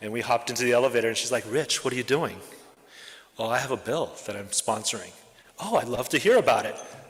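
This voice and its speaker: Talking at a very fast pace, a man with a medium-pitched voice uses ordinary pitch variation over noticeable background noise. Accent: American. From Japan, then Oregon from middle school. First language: Japanese. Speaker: school network head, educator. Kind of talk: member self-introduction at club meeting. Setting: club meeting with live audience. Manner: casual, with frequent filler words.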